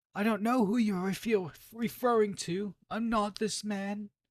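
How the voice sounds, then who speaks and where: Putting on a character voice, a man speaks at a moderate pace in a high pitch with fairly even intonation. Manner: feigned innocence.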